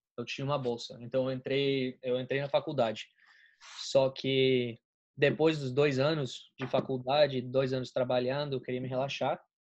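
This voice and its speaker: A man speaks at a medium pitch and moderate pace. His intonation is monotone and flat. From Colombia, raised in Florida, USA. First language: Spanish (speaking Portuguese). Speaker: college student, friend of host. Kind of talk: casual chat.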